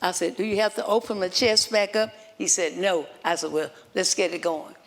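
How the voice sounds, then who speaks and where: A woman with a medium pitch and ordinary pitch variation speaks at a moderate pace against noticeable background noise. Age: 80s+. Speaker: heart patient. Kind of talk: personal testimony. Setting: stage with audience at press club.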